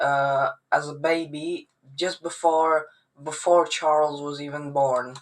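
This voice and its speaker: A man's fairly high voice at a very slow pace, flat and monotone. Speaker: genealogy youtuber. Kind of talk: casual tutorial. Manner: halting.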